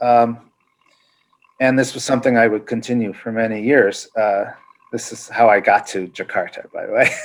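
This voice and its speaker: With an American accent, this speaker talks at a moderate pace in a monotone, flat intonation, with big swings in loudness. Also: man, medium pitch for a man. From US West Coast, San Francisco area. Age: 60s. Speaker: professor. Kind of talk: interview. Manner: halting, many fillers.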